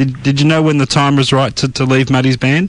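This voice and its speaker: There is noticeable background noise as a man speaks at a medium pitch with fairly even intonation. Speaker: radio presenter. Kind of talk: interview questions.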